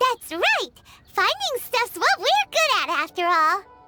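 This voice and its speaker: A squeaky, extremely high cartoonish character voice at a fairly slow pace, with faint music in the background. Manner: bright, excitable.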